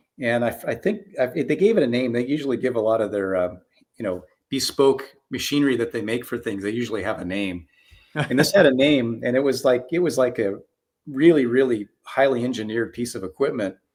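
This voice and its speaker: Using an ordinary speaking voice in an American accent, a man talks at a fairly quick pace and medium pitch with ordinary pitch variation. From US West Coast, Southern California (Orange County). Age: 60s. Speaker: film matte painter. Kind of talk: interview. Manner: conversational.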